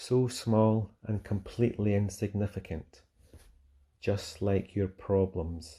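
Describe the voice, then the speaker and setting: A man's fairly low, somewhat breathy voice with a Scottish accent, dark and mellow in tone, at a very slow pace with fairly even intonation. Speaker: fitness instructor. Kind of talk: guided mindfulness meditation. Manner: soft-spoken, slow.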